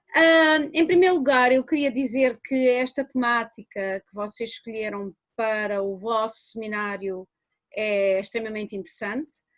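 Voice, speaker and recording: A woman with a European Portuguese accent speaks at a moderate pace, fairly high and with lively intonation, in a very clean recording with a silent background. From Portugal, rural. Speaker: anthropology professor. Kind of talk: academic lecture.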